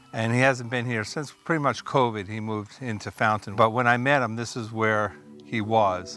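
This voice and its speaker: Medium-pitched male speech at a moderate pace with fairly even intonation, music in the background. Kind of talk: documentary walk-through narration. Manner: casual.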